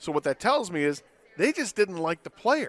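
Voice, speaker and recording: Moderate pace and very wide pitch swings in a dry, close sound with no echo. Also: man. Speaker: sports radio host. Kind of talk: sports radio talk show. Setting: live broadcast at a stadium.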